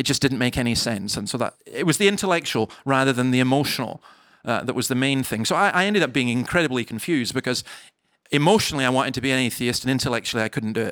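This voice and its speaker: Very clean recording, silent background. A man talks at a very fast pace in a Scottish accent. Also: medium pitch for a man, ordinary pitch variation. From Scottish Highlands. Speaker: minister. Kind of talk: live interview. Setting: stage with audience.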